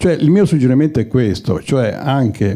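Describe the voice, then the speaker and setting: This man has a dark, mellow tone with vocal fry. His pitch is medium with ordinary pitch variation. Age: 70s. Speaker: audience member at screening Q&A. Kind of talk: audience question at film discussion. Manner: halting, many repetitions.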